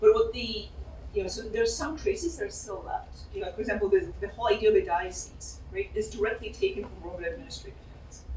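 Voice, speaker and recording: A woman talks at a very fast pace, with big swings in loudness. Noticeable background noise and audible room echo are present. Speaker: political science professor. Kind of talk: Q&A after a lecture.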